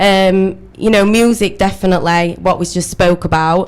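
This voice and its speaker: A northern English accent at a moderate pace. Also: woman. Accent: northern English, noticeable. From Sheffield, northern England. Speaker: club promoter. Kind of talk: radio interview. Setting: radio studio.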